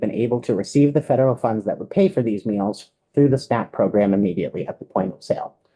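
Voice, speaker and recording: A man talks at a very fast pace with hardly any pauses, his voice medium in pitch with a dark, mellow tone. His intonation is lively, and his loudness swings a lot. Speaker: advocate testifying to legislative committee. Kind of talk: legislative testimony.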